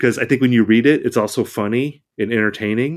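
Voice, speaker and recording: This man has a plain, everyday voice at a medium pitch with ordinary pitch variation. The recording is very clean, with a silent background. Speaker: music critic. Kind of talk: casual chat.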